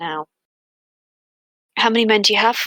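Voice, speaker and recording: A female-sounding voice puts on a raspy character voice with a fairly high pitch and a fairly quick pace. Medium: actual play.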